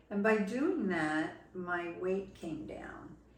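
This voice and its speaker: A woman with an American accent at a medium pitch and very slow pace, with audible room echo and noticeable background noise. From New Jersey. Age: 70s. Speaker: patient giving testimonial. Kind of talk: testimony. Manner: hesitant, with frequent fillers.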